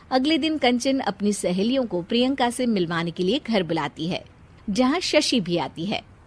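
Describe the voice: With lively intonation, a woman speaks at a moderate pace and a medium pitch.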